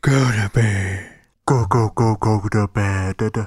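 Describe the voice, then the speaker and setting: In a put-on character voice, a man sounds raspy at a fairly low pitch. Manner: silly, spooky.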